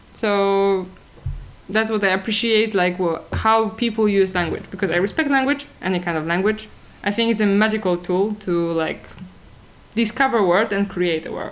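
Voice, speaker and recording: With a strong Polish accent, the speaker goes at a moderate pace over noticeable background noise. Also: woman, medium pitch for a woman, ordinary pitch variation. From Poland. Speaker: talk show co-host. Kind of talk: casual chat. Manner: halting, many fillers.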